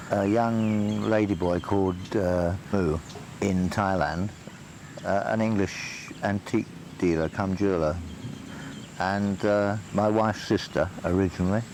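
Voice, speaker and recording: The speaker has an English accent and talks at a fairly slow pace with long, frequent pauses. Intonation is fairly even, loudness is very even, and there is noticeable background noise. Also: man, fairly low pitch for a man. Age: 60s. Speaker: documentary interviewee. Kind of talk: documentary interview. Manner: hesitant.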